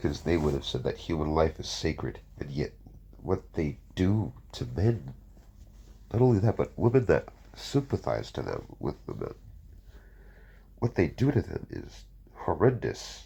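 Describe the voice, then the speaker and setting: Fairly slow with long, frequent pauses, a man talks in a very deep, low voice with vocal fry, a dark, mellow tone and very wide pitch swings. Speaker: fan fiction narrator. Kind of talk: casual talk to camera.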